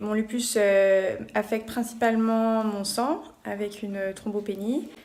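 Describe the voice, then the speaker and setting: This woman's voice is fairly high and fairly even in intonation. She speaks at a very slow pace. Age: 20s. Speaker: medical student with lupus. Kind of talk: testimony.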